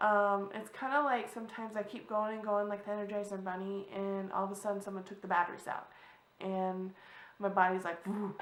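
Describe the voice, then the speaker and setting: In a room with audible echo, a woman talks at a fairly quick pace and medium pitch with fairly even intonation. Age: 30s. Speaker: vlogger. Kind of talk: personal vlog talk. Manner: halting.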